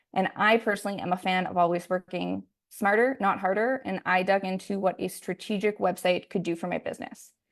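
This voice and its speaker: The speaker has a Canadian accent and a fairly quick pace. Intonation stays fairly even, with hardly any pauses. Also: woman, medium pitch for a woman. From Canada, Alberta. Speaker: hairstylist and salon owner. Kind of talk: online masterclass presentation. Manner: fast.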